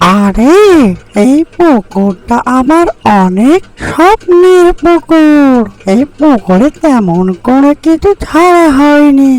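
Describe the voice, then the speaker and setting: In a high-pitched cartoonish character voice, the words come out at a very slow pace. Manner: friendly, gentle.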